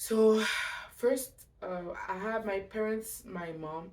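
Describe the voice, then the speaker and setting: With a French accent, a woman speaks with ordinary pitch variation, and room echo is audible. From Montreal, Quebec. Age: 20s. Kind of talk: testimony. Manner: halting; casual.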